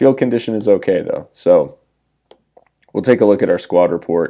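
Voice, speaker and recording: In a dark, mellow tone, a man talks with an American accent. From USA. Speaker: gaming YouTuber. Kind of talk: gameplay commentary. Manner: casual.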